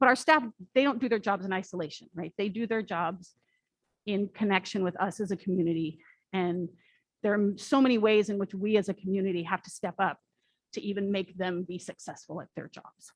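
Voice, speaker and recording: The voice moves at a fairly quick pace with ordinary pitch variation and big swings in loudness, in a dry, close sound with no echo. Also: woman, medium pitch for a woman. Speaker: church member presenting volunteer opportunities. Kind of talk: church announcement talk. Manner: fast.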